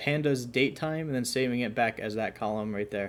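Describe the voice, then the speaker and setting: At a fairly quick pace, a man talks in a normal speaking voice with ordinary pitch variation, in a very clean recording with a silent background. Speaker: coding tutorial youtuber. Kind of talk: tutorial. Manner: casual with fillers.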